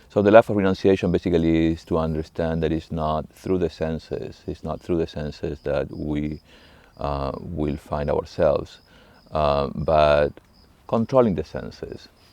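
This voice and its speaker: With an Argentine accent, the speaker keeps ordinary pitch variation at a moderate pace. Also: man, very deep, low pitch for a man. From Argentina, Buenos Aires. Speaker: monk, monastery abbot. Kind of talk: interview monologue on spirituality. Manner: halting, many fillers and restarts.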